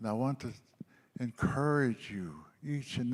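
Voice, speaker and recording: Talking at a fairly slow pace, a man with an Albertan accent has a medium pitch and lively intonation. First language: Blackfoot. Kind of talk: speech at a healing gathering. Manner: halting, with repetitions.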